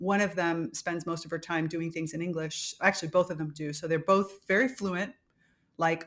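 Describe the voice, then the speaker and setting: A woman speaks with a Spanish accent. Her pitch is fairly low and varies in an ordinary way. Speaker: podcast host. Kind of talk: casual chat.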